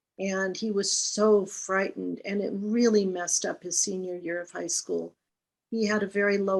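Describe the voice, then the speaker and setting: A woman delivers her words at a moderate pace, her pitch medium and her intonation fairly even. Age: 60s. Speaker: healing touch practitioner. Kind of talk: panel presentation. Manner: hesitant with fillers.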